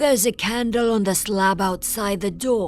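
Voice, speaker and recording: A female-sounding, put-on character voice sits at a medium pitch. Music plays in the background. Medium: read story. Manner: sullen, repetitive.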